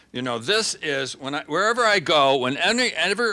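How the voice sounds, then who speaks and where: A man speaks in a bright, sharp tone at a fairly high pitch, his voice swinging very widely in pitch and showing vocal fry. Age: 70s. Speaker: magazine editor and writer. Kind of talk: audience Q&A. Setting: stage with audience. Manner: halting, many false starts.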